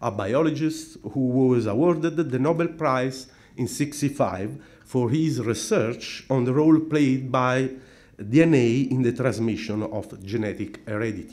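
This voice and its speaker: Speaking with a non-native accent at a fairly slow pace, a man uses a medium pitch and ordinary pitch variation. Audible room echo surrounds his voice. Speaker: philosophy scholar. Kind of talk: conference talk. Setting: conference. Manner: formal.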